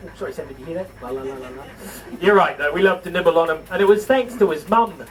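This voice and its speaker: A man with a New Zealand accent talks at a fairly quick pace, his pitch swinging very widely over noticeable background noise. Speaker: livestock show presenter. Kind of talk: live show to audience. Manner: animated.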